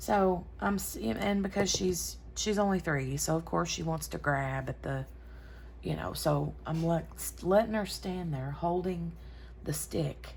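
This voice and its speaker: There is audible room echo around a woman's voice. She speaks at a fairly slow pace. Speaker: crafting YouTuber. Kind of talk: casual chat while crafting. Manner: talking lower than normal.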